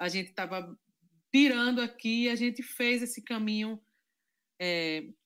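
On a very clean recording with a silent background, a woman speaks at a fairly high pitch with lively intonation. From Zona da Mata Norte, Pernambuco, Brazil (Carpina). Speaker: cultural and music producer. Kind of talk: casual chat.

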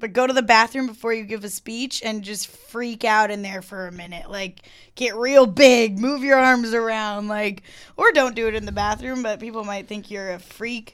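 This is a woman with a plain, everyday voice, fairly high in pitch, at a moderate pace. Her loudness swings widely, and the recording is very clean with a silent background. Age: 20s. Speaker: podcast guest. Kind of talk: casual chat.

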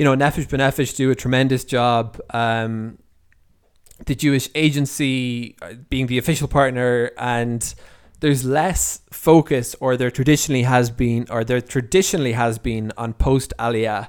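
On a very clean recording with a silent background, a man with an Irish accent talks at a moderate pace in a medium pitch with fairly even intonation. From Ireland. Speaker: podcast host and freelance writer. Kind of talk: solo podcast monologue. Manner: halting, with many repeats and fillers.

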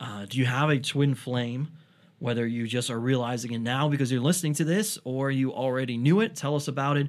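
A man's plain, everyday voice at medium pitch, with ordinary pitch variation and a moderate pace. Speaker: podcast host, comedian and author. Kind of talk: casual chat. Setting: studio.

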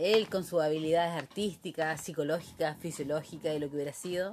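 A woman's fairly low-pitched voice with ordinary pitch variation at a moderate pace, over noticeable background noise. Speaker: interviewee recalling the 1980s. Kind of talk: casual interview.

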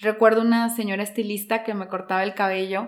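A normal speaking voice from a woman, fairly high in pitch, moderate in pace, with fairly even intonation. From Peru, Lima. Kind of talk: casual interview on faith.

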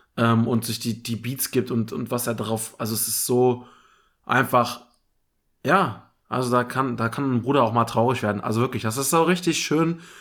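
A man with an ordinary speaking voice talks at a medium pitch and moderate pace, with ordinary pitch variation, on a very clean recording with a silent background. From Germany, Sarstedt (Lower Saxony). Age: 20s. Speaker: podcast host. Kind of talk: casual chat.

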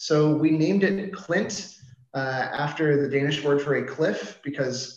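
A man with an American accent speaks at a fairly high pitch with ordinary pitch variation. Audible room echo and noticeable background noise are present. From US, Washington DC. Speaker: marketing agency CEO. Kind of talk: interview. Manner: casual, filler-heavy.

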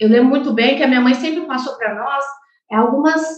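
Speaking very fast at a high pitch with ordinary variation, a woman's voice carries audible room echo. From Brazil, Mato Grosso do Sul (Chapadão do Sul). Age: 20s. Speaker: agronomist and farm successor. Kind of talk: interview.

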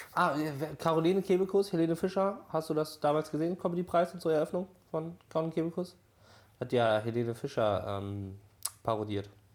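Fairly quick speech from a man, fairly high in pitch, with very wide pitch swings and long, frequent pauses. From Borkum, northern Germany. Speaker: podcast co-host. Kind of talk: casual chat.

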